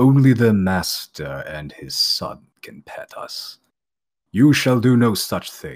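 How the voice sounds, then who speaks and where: A booming, put-on character voice at a fairly slow pace. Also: man, medium pitch for a man. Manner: stern, authoritative.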